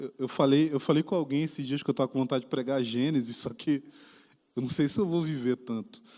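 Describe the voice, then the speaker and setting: Talking at a fairly quick pace, a man with a fairly high pitch and a dark, mellow tone uses ordinary pitch variation. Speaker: pastor. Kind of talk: sermon. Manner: casual, conversational.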